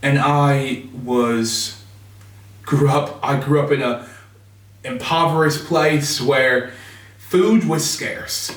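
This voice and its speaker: Speaking very slowly with long, frequent pauses, a man with an American accent uses a fairly high pitch and ordinary pitch variation amid audible room echo. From US Midwest, Chicago. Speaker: reverend. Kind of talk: personal testimony.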